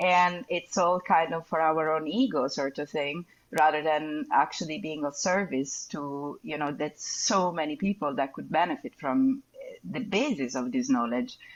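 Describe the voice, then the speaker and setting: With an Italian accent, a woman speaks at a moderate pace in a very deep, low pitch that makes very wide swings. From Italy. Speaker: neuropharmacologist and cannabis educator. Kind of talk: podcast interview.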